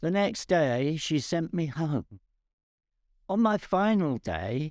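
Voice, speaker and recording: A man with an English accent and a fairly high pitch speaks at a very slow pace with very wide pitch swings, in a dry, close sound with no echo on a very clean recording with a silent background. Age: 80s+. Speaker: cancer patient. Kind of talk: personal testimony.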